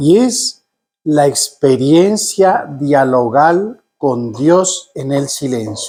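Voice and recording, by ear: A nasal voice with a slightly mellow tone at a very slow pace. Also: man, fairly high pitch for a man, lively intonation.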